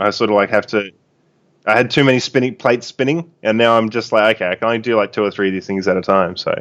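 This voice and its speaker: A man speaks very fast in an Australian accent, his pitch medium and his pitch variation ordinary, against a quiet background. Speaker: online game player. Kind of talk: casual chat.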